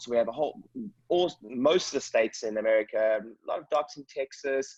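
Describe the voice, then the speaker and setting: This man speaks with a South African accent. His pitch sits in the medium range. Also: dry, close sound with no echo. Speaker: chiropractic business coach. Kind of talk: video call presentation. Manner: fast; animated. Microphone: jumbly audio, poor connection.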